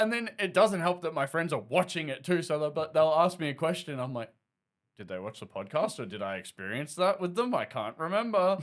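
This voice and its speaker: On a very clean recording with a silent background, a man with an Australian accent talks at a fairly quick pace in a fairly high pitch, with very wide pitch swings. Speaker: podcast co-host. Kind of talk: casual chat.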